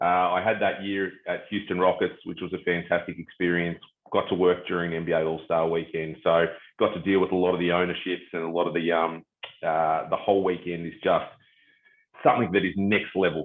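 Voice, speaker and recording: A man with a very deep, low pitch and an American accent, in monotone, flat intonation. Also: fairly quick pace. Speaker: sport business executive. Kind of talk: interview.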